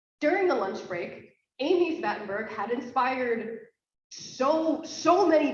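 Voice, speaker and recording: Audible room echo surrounds a woman with an American accent who uses lively intonation. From United States. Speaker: conference host. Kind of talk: conference opening remarks. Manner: casual, filler-heavy.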